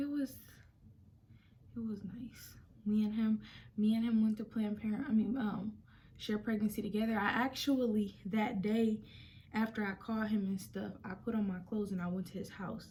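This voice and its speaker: Whispering and soft-spoken, a woman sounds somewhat breathy as she talks at a moderate pace with long, frequent pauses. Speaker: vlogger. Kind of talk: casual story time. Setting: at home, quiet room. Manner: soft, near whisper; hesitant, many fillers.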